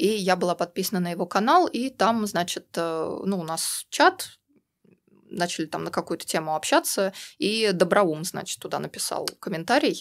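In a very clean recording with a silent background, a plain, everyday voice talks at a moderate pace with lively intonation. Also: woman, medium pitch for a woman. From Russia. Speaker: activist, community member. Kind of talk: casual interview chat. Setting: studio.

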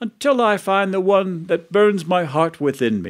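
At a moderate pace, a man with a high pitch uses an animated, dramatic tone against a quiet background. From Philadelphia. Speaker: storyteller. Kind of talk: storytelling performance, live telling of a medieval legend. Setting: studio. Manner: animated, dramatic character voices, shifting from narrator to archaic courtly speech; vivid, measured storyteller pacing with relish for grotesque detail. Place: studio.

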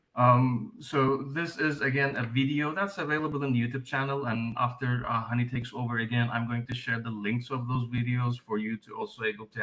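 Amid noticeable background noise, a man of medium pitch talks at a fairly quick pace with hardly any pauses and ordinary pitch variation. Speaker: open mapping trainer. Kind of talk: webinar presentation. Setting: video call.

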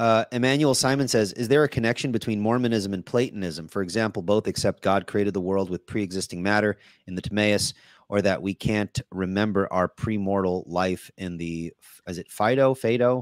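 A man's fairly low voice at a fairly quick pace, ordinary pitch variation, dry sound with no echo, and a quiet background. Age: 40s. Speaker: podcast host and teacher; podcast host, teacher. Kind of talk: casual interview. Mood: polite, grateful. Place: home room.

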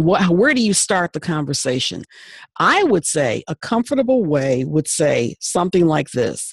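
Against a quiet background with dry sound and no echo, a woman speaks at a moderate pace with very wide pitch swings. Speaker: diversity consultant and radio host; radio host. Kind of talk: webinar discussion. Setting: video call. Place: home room. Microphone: studio mic.

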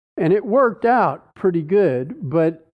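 Very slow pace from a man. The background is quiet. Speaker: pastor. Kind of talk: Bible study teaching. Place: church. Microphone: headset.

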